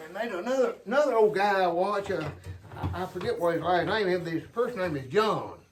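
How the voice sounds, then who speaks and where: A man's high-pitched voice with an Appalachian accent, fairly quick pace, ordinary pitch variation and audible room echo. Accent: Appalachian US Southern. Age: 70s. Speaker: hobby sawmiller and woodworker. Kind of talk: casual workshop tutorial. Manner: halting, repeats words.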